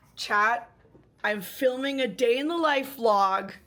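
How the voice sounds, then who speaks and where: Speaking at a very slow pace, a woman with a high pitch has a bright, sharp tone and lively intonation. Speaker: software engineer and streamer. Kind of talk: vlog narration. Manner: casual, animated.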